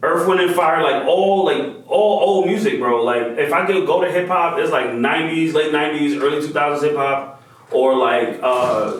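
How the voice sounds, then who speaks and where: A man with fairly high pitch and ordinary pitch variation talks at a moderate pace, with hardly any pauses and very even loudness, amid noticeable background noise and audible room echo. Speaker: visual artist and toy maker. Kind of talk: interview. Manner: animated.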